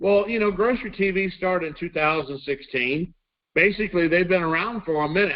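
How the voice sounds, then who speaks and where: A man speaks with a Texan accent. His voice is high-pitched. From Texas. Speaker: network marketing company trainer. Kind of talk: corporate training presentation.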